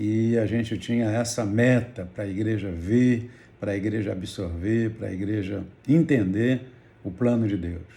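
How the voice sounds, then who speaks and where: A man's somewhat breathy, dark, mellow voice, fairly low in pitch and fairly slow, with fairly even intonation and audible room echo. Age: 70s. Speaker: pastor. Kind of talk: testimony.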